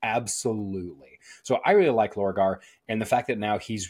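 Here a man has an ordinary speaking voice, fairly low in pitch, at a moderate pace. The recording is very clean, with a silent background. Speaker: podcast host. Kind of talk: casual chat.

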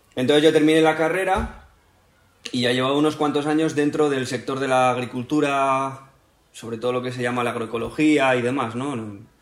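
A man in a plain, everyday voice talks at medium pitch and a moderate pace with ordinary pitch variation. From northern Spain. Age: 20s. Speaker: biologist and livestock farming enthusiast. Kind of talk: casual chat.

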